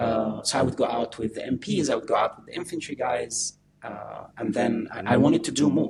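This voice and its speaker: A man at a moderate pace with an Arabic accent. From Egypt (Alexandria). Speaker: army veteran and author. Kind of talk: interview storytelling. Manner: halting, many fillers.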